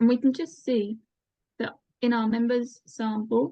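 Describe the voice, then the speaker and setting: High in pitch, a woman's voice shows ordinary variation. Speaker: researcher presenting survey results. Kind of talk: presentation.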